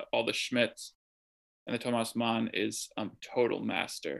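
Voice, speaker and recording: On a very clean recording with a silent background, a man in a US Midwestern accent speaks at a fairly slow pace. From US Midwest (Chicago suburbs, Wisconsin). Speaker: literary translator and writer. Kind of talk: casual interview. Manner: halting, many fillers.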